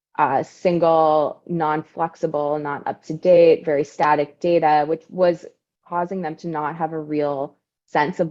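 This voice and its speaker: This woman's pitch is very deep and low. Her intonation stays fairly even. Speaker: data strategy director at a health analytics firm. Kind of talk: webinar presentation. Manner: fast.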